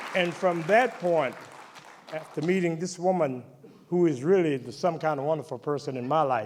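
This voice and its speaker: Against crowd noise and audible room echo, a man with an American accent talks at a moderate pace in a fairly high pitch with ordinary pitch variation. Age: 70s. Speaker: singer-songwriter, hall of fame inductee. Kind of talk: acceptance speech. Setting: stage with audience.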